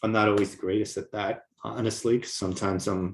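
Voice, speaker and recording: A somewhat breathy man at a fairly quick pace, his intonation fairly even. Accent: American. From New York. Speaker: communication coach. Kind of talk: online course lecture. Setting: video recording to camera. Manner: little voice modulation.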